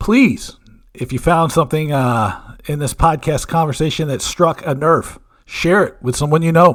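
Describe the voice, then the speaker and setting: A man talks at a moderate pace and a fairly high pitch. His pitch varies in an ordinary way, and the recording is very clean with a silent background. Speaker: podcast host. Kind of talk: podcast outro. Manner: stumbling.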